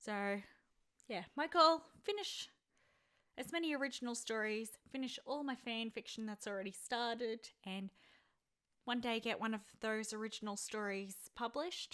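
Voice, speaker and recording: A woman's fairly high, bright, sharp voice with ordinary pitch variation and long, frequent pauses. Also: moderate pace. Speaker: vlogger and aspiring writer. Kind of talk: casual vlog monologue. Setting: home recording at desk. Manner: halting, with stutters.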